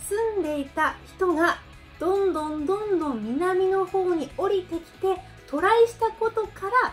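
With faint music in the background, the speaker uses an upbeat tone and lively intonation at a fairly slow pace. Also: woman, extremely high pitch for a woman. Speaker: Okinawan language teacher; language lecturer. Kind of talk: educational talk to camera. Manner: upbeat, friendly.

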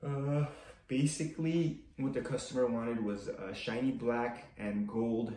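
Audible room echo and light background noise surround a man speaking with ordinary pitch variation. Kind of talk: casual tutorial vlog chat. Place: workshop. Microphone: camera far.

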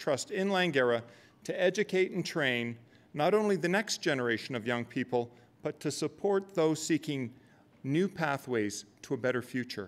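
A man with a fairly high-pitched voice speaks at a moderate pace with lively intonation. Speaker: college president. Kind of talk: formal welcome speech. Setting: stage with audience. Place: hall. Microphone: podium.

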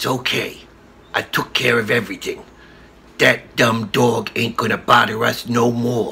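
A put-on character voice, low-to-middle in pitch, at a moderate pace. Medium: comedy sketch. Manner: gruff, tough-guy.

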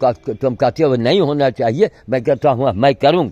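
A man talks at a fairly slow pace. His tone is dark and mellow, and the sound is dry with no echo. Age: 80s+. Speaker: sadhu activist. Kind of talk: monologue vlog. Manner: animated. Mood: frustrated, complaining. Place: garden. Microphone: phone near.

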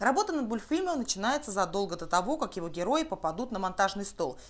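Big pitch swings mark a woman's medium-pitched voice. She speaks at a fast pace.

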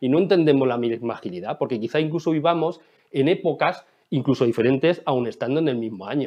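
A man talks at a very fast pace with ordinary pitch variation against a quiet background. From Spain, Ciudad Real; Spain. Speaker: agile consultant and conference speaker; conference speaker. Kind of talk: conference talk. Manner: animated. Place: home room.

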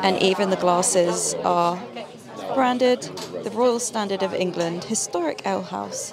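A woman at a fairly slow pace, ordinary pitch variation, dry sound with no echo, and crowd noise in the background. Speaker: vlogger. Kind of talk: casual vlog chat. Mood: cheerful, playful. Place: bar. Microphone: handheld.

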